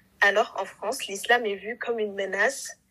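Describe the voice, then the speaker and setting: Using an unremarkable speaking voice, a woman talks at a medium pitch and a fairly slow pace with fairly even intonation. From Senegal. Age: 20s. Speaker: administrative assistant apprentice. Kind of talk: casual chat.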